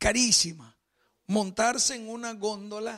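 A man speaks with a Spanish accent and a high pitch. The background is quiet. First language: Spanish (speaking Italian). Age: 50s. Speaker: pastor. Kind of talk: sermon. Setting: church. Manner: mixes Spanish and Italian. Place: church.

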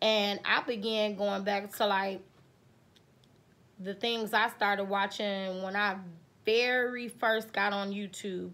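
A woman speaks in a monotone, with flat intonation. Her tone is bright and sharp. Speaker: vlogger. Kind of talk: casual vlog chat. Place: home room. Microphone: phone near.

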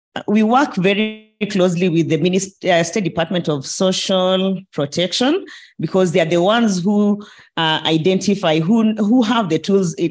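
With a quiet background, a woman speaks at a moderate pace, her loudness very even and her pitch variation ordinary. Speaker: panelist. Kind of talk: panel discussion answer. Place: hall. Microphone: handheld.

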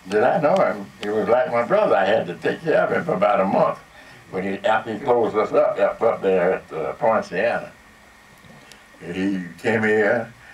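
There is audible background noise as a speaker with an American accent talks at a medium tempo. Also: man. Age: 80s+. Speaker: radio personality. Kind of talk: interview answer. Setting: live audience, event hall. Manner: soft-spoken.

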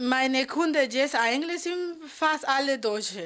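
Speaking at a fairly slow pace, a woman with a Spanish accent uses lively intonation. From Colombia, Cali. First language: Spanish (speaking German). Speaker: beautician. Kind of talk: interview.

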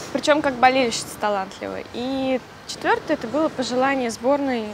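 A woman's high-pitched voice with ordinary pitch variation, dry with no echo, over noticeable background noise. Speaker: interview guest. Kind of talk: interview answer. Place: cafe. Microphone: lapel.

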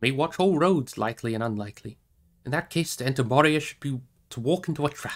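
The words are read aloud in a natural voice.

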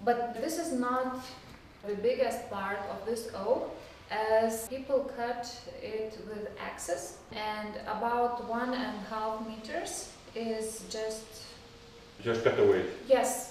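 With audible room echo and light background noise, a woman speaks very slowly, her loudness swinging widely while her pitch varies in an ordinary way. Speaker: museum guide. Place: garden.

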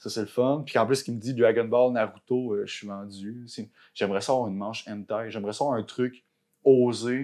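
Against a quiet background, a man with a Quebec accent speaks at a moderate pace in a dark, mellow tone, with fairly even intonation and big swings in loudness. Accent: Québécois French. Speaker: tattoo artist; podcast guest. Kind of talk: casual chat. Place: home room. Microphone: lapel.

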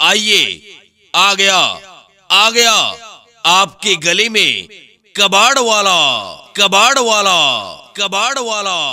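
A man's raised, projected voice at a high pitch, fairly even in intonation, with long, frequent pauses. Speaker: announcer. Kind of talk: street hawker loudspeaker announcement.

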